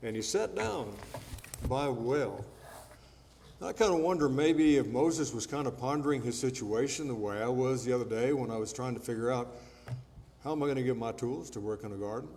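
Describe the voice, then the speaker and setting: A man's medium-pitched voice at a fairly quick pace, ordinary pitch variation, long and frequent pauses, and audible room echo. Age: 70s. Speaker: preacher. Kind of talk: sermon. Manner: conversational.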